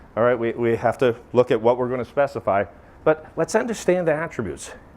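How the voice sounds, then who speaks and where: This man has a Maine accent and a medium pitch. He talks at a fairly quick pace with ordinary pitch variation. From Maine, US. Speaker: flashing manufacturer president, presenter. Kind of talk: technical presentation. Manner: animated.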